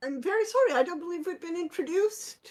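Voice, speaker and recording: A woman puts on a squeaky character voice at an extremely high pitch. She races along at a very fast pace with lively intonation. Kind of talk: formal period politeness. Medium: actual play. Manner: polite, proper.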